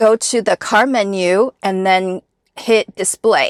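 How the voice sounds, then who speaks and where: A woman with a Chinese accent speaks very slowly at a fairly high pitch with ordinary pitch variation, in a dry, close sound with no echo on a very clean recording against a silent background. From Taiwan. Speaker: car owner vlogger. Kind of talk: vlog tutorial.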